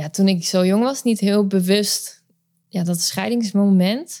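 A woman speaks at a moderate pace with fairly even intonation. Her tone is dark and mellow. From Netherlands, later Friesland. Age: 30s. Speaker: mother coach. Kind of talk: interview testimony.

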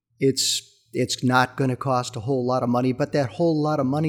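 This man's voice sits at a medium pitch. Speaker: podcast host. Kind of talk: casual interview.

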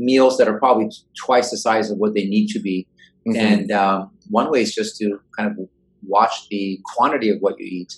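A man talks at a moderate pace, his pitch fairly low and his intonation fairly even. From Portland, Oregon (born in Iran). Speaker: venture capital investor. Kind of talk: interview.

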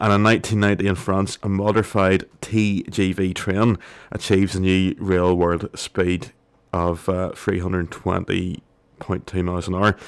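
A man's very deep, low voice in a monotone, flat intonation. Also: moderate pace. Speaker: radio co-host. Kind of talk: casual radio chat. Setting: radio studio.

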